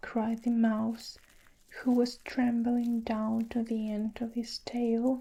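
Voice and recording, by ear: What's heard here is reading aloud in a natural voice.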